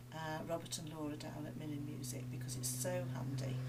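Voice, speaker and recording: A woman talks at a moderate pace. Some room echo can be heard. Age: 60s. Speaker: piano and maths teacher. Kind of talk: interview.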